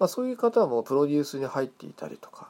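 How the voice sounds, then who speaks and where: The man's fairly high-pitched voice makes very wide swings up and down. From Hokkaido, Japan. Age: 40s. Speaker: podcast host. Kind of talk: casual monologue. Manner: halting, many fillers.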